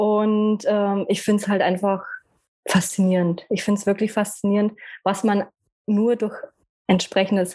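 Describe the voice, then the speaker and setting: The intonation stays monotone and flat. A woman delivers it at a fairly slow pace. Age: 30s. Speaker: personality trainer and numerologist. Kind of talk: casual interview.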